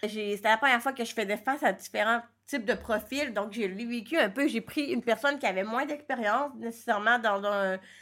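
Recorded very cleanly against a silent background, a woman speaks at a moderate pace with ordinary pitch variation. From Quebec. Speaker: entrepreneur and blogger. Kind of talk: interview. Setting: recording studio in a coworking space.

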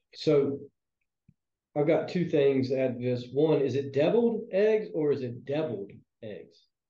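The voice is dark, mellow and somewhat breathy, with lively intonation. It moves at a fairly slow pace with long, frequent pauses. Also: man, fairly high pitch for a man. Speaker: podcast co-host. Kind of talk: casual chat.

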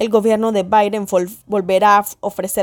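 Against a very clean recording with a silent background, a woman talks at a moderate pace in a medium pitch with monotone, flat intonation. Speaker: news presenter. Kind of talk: news reading. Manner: formal.

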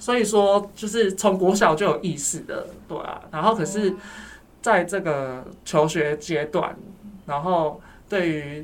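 A man's high-pitched voice at a very slow pace, with audible room echo and noticeable background noise. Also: ordinary pitch variation. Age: 30s. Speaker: counselor at a men's support center. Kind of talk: casual interview chat.

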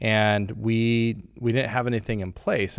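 Recorded very cleanly against a silent background, a man with an unremarkable speaking voice talks at a medium pitch with ordinary pitch variation. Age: 30s. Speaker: insurance agency owner and podcast host. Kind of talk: casual chat.

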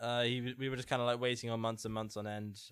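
In an English accent, a man speaks at a medium pitch with fairly even intonation. The recording is very clean, the background silent. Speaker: podcast co-host. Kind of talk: casual chat.

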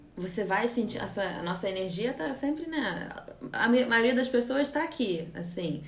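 Very wide pitch swings come through alongside noticeable background noise and audible room echo. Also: woman, fairly high pitch for a woman, fairly slow pace. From California, USA (Brazilian family, holidays in Rio). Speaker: yoga teacher. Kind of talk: casual interview chat. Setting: yoga studio, Instagram live.

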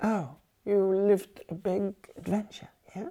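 A woman's voice comes through somewhat breathy. Its tone is dark and mellow. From West Germany. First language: German. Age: 70s. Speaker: former militant activist and exile. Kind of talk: interview testimony. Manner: halting, many fillers.

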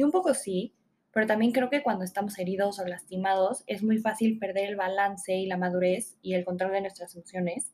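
Fairly quick and fairly even in intonation, a woman's voice sits at a medium pitch. She keeps her delivery level throughout. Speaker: podcast host. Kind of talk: solo self-help podcast. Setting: home recording. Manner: fast.

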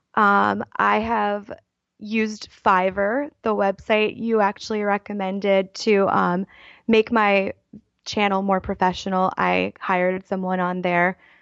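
Flat, monotone intonation from a woman with an American accent at a fairly slow pace. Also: medium pitch for a woman. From Baltimore, US. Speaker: YouTuber and writer. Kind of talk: casual interview.

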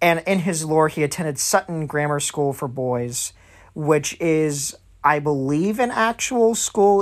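Speaking at a moderate pace with a high pitch and lively intonation, a man comes through in a very clean recording over a silent background. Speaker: music podcast host. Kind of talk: casual solo podcast talk reading from notes. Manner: loose and lively, unscripted; hesitant with frequent fillers.

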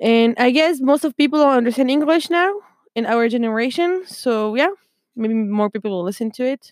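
The recording is dry and close with no echo, carrying a woman's high voice with a French accent and lively intonation. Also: moderate pace. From France. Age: 20s. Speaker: podcaster. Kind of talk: casual monologue. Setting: at home desk. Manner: chatty, playful.

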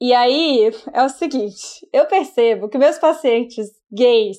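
A woman with a high pitch and a dark, mellow tone over a quiet background. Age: 30s. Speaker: psychologist podcast host. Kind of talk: casual chat.

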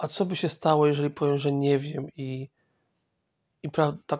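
The man's intonation is monotone and flat. His speech proceeds at a moderate pace. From Poland, Masovia. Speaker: podcast host. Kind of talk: personal monologue. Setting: in bed at home. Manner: halting.

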